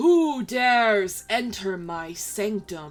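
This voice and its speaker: A put-on character voice at a very slow pace. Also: female-sounding voice. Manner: imposing, commanding.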